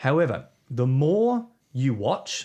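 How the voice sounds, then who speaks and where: In an Australian accent, a man speaks with a dark, mellow tone. His pitch varies in an ordinary way against a quiet background. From South Australia. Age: 40s. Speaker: pastor and author. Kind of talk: interview conversation. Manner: hesitant with fillers.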